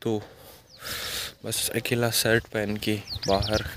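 A man at a very slow pace, dry with no echo, over noticeable background noise. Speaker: vlogger. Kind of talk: casual vlog talk to camera. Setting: outdoors. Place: open country. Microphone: phone near.

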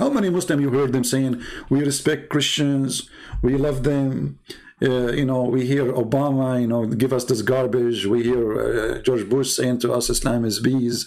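With an Arabic accent, a man speaks at medium pitch and a moderate pace, his loudness very even. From Middle East. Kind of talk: religious polemic talk. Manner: animated, emphatic.

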